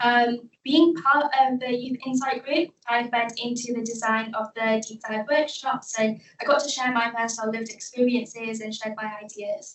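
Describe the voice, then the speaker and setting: A woman with a Manchester accent, high-pitched, at a moderate pace with hardly any pauses, fairly even intonation and big swings in loudness. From South Manchester, England. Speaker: youth panel member. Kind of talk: panel presentation. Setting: event with audience, microphone.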